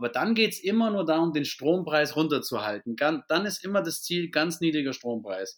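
A man with a southern German accent at a moderate pace, fairly high in pitch with very wide pitch swings and hardly any pauses. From Bavaria, near Augsburg. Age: 30s. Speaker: business owner. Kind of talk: podcast interview.

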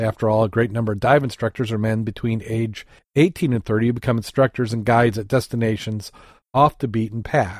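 Speaking very fast with a Midwestern accent, a man keeps a medium pitch and fairly even intonation on a very clean recording against a silent background. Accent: general American Midwest. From Michigan, US Midwest. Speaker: podcast host, scuba diver. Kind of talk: casual chat podcast.

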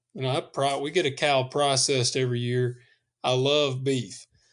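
A man with a Southern US accent, fairly high in pitch, at a moderate pace against a quiet background. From US South. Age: 30s. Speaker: podcast host and hunter. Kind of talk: casual chat.

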